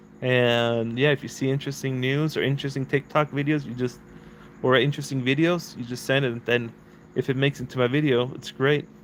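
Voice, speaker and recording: A man with a non-native accent, medium pitch, fairly quick pace and monotone, flat intonation. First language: not English. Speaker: YouTuber, real estate investor. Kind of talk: casual livestream chat. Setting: outdoors.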